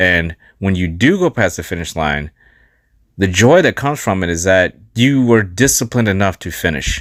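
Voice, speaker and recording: In a very clean recording with a silent background and a dry, close sound with no echo, a man with a normal speaking voice and a fairly low pitch talks at a moderate pace. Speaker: life coach and podcast host. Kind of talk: podcast monologue.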